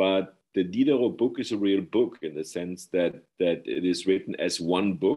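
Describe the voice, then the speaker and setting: On a very clean recording with a silent background, a man with a German accent speaks at a moderate pace in a very deep, low pitch. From Germany. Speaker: professor and author. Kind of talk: interview on his book.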